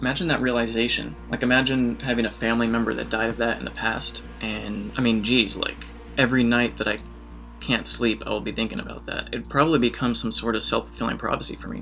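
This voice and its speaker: Faint music sits in the background as a man talks at a very fast pace. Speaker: YouTube host. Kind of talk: explainer vlog commentary. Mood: casual, lightly humorous. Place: home room.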